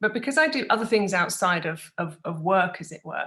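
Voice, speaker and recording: A woman with a British accent speaks at a moderate pace and a medium pitch. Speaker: business consultant. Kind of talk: podcast interview.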